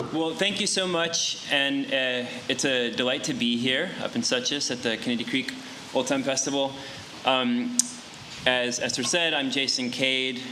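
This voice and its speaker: Over noticeable background noise and audible room echo, a man speaks at a medium pitch with an American accent. His pace is fairly slow and his loudness very even. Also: ordinary pitch variation. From western North Carolina (Yancey County, Appalachia). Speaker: old-time fiddler and workshop teacher. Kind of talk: music workshop talk. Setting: festival workshop with live audience. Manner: hesitant, many fillers and repeats.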